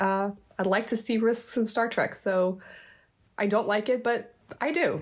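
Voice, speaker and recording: A woman with an American accent speaks at a fairly high pitch and a fairly slow pace. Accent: American accent, noticeable to Swedes. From United States, military family moving often. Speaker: crime novelist and guest. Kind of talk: casual chat. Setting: remote podcast recording. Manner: halting, many false starts. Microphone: new microphone and setup.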